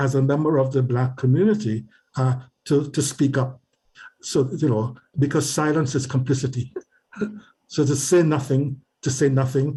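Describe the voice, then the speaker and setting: Somewhat breathy, with a dark, mellow tone, a man with a fairly high pitch speaks at a moderate pace, with fairly even intonation, very even loudness, and long, frequent pauses. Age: 80s+. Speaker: retired professor and community advocate. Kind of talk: interview. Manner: halting, many repetitions and fillers.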